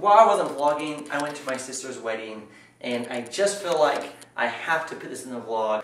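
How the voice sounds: A man at a medium pitch, fairly bright in tone, with lively intonation, a moderate pace and strong room echo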